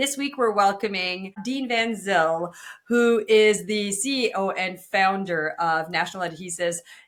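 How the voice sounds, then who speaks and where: The speaker talks at a fairly slow pace in a French Canadian accent. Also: woman, medium pitch for a woman, ordinary pitch variation. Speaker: podcast host. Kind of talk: interview.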